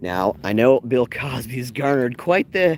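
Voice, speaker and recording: A man is heard with a dry, close sound and no echo. There is noticeable background noise. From Canada. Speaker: live-streaming travel vlogger and tour guide. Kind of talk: live-streamed walking tour. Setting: outdoors walking along a street. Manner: animated.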